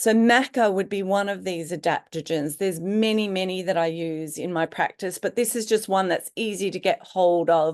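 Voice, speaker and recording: The woman has an unremarkable speaking voice at medium pitch, with ordinary pitch variation. She goes at a moderate pace with hardly any pauses. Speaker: naturopath. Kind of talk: webinar lecture. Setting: online webinar.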